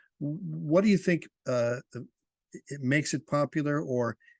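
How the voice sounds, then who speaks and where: With a normal speaking voice, a man talks at a fairly slow pace and fairly high pitch, in a dry, close sound with no echo over a quiet background. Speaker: interviewer. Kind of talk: interview questions.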